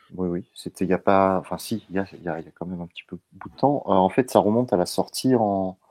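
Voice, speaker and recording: Very deep and low, a man's dark, mellow voice races at a very fast pace with hardly any pauses and big swings in loudness, the sound dry and close with no echo. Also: ordinary pitch variation. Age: 30s. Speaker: podcast guest. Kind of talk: casual chat. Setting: live stream.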